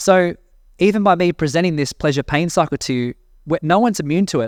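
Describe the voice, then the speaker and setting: A man speaks with an Australian accent at a fairly quick pace, his pitch high for a man with ordinary variation. The recording is very clean, with a silent background. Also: dry, close sound with no echo. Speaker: personal growth mentor, podcast host. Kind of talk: casual monologue podcast.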